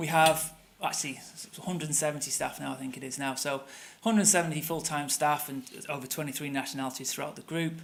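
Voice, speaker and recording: A man speaks very fast with a Manchester accent, his pitch fairly high for a man. His intonation stays fairly even, and room echo is audible. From northern England, Manchester. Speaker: tour company operations director. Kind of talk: conference presentation.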